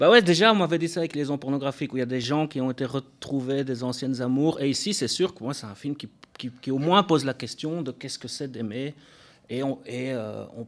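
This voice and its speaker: A man with a Belgian accent talks at a medium pitch. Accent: Belgian French, noticeable. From Belgium. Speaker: film director. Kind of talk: interview. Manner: hesitant, many fillers and repetitions.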